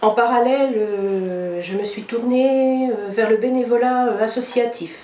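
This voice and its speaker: With audible room echo and noticeable background noise, a woman is heard speaking. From France, Nantes. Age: 60s. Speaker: political candidate, retired civil servant. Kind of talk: press conference statement. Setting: press conference. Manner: hesitant, many fillers.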